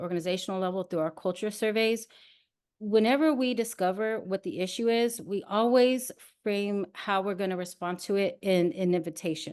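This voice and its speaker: A woman's medium-pitched voice with ordinary pitch variation against a quiet background. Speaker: nonprofit consultancy executive. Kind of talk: workshop presentation. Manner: fast.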